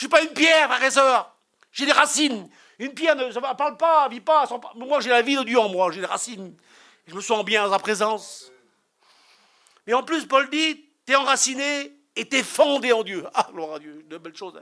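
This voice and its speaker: A man with an extremely high pitch and a bright, sharp tone uses a raised, projected voice at a moderate pace, with lively intonation and big swings in loudness. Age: 60s. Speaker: preacher. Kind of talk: sermon. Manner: animated.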